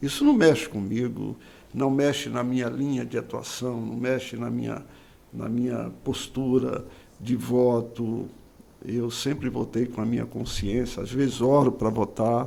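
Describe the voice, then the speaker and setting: Medium-pitched male voice, dark and mellow, monotone and flat, at a fairly slow pace. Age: 60s. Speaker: politician and pastor. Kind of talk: interview. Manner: calm.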